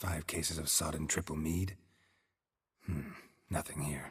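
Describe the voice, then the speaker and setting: A man puts on a character voice, raspy and very deep in pitch. He keeps to a moderate pace. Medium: video game. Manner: terse, deadpan.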